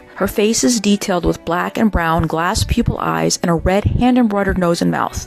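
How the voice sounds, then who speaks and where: Music plays in the background as a woman speaks at a moderate pace. Her loudness is very even, with hardly any pauses. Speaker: auction house presenter or specialist. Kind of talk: auction house item preview narration, descriptive presentation.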